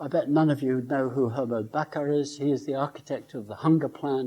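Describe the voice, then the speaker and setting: A man's fairly quick, fairly high-pitched voice, dark and mellow, with fairly even intonation and an English accent. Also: quiet background. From England, Lincoln. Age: 70s. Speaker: professor. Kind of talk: lecture. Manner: halting.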